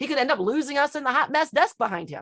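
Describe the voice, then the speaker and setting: A woman at a very fast pace, with lively intonation and an animated, bright, sharp tone, on a very clean recording with a silent background. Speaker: networking group organizer. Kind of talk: panel discussion.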